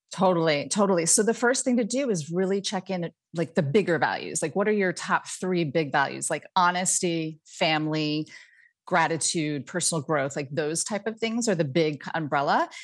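Against a quiet background, a woman uses an ordinary speaking voice at a fairly low pitch, with lively intonation and a moderate pace. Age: 50s. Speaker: dating coach. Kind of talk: casual chat.

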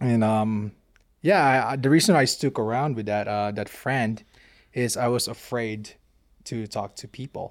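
On a very clean recording with a silent background, a man with a Filipino accent speaks fairly slowly at a medium pitch, with ordinary pitch variation. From Philippines. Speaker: Marine veteran. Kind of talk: casual chat.

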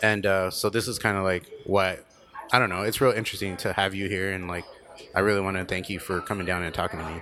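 Through noticeable background noise, a man with a very deep, low pitch talks at a very fast pace in a monotone, flat intonation. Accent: American. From Tucson, Arizona. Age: 30s. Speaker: podcast host. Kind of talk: casual chat. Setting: studio.

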